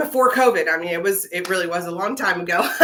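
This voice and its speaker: A woman speaks with lively intonation. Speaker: viola teacher. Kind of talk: livestream tutorial. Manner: hesitant, many fillers; fast.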